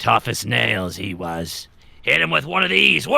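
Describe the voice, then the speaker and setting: This is a put-on character voice with a raspy edge. Its pitch swings very widely at a moderate pace. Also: man, very deep, low pitch for a man. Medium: actual play.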